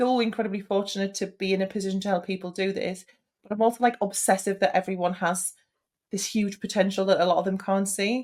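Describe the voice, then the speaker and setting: Medium in pitch, a woman talks at a very fast pace. The recording is very clean, with a silent background. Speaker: beauty business coach. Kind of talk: podcast interview. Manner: animated.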